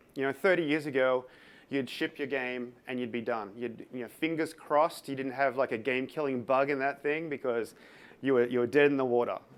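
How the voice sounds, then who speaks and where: A man with an Australian accent talks at a fairly quick pace and medium pitch, his intonation fairly even, in a very clean recording with a silent background. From Australia, Sydney. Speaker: tech company developer advocate. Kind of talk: conference talk. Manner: hesitant, many fillers.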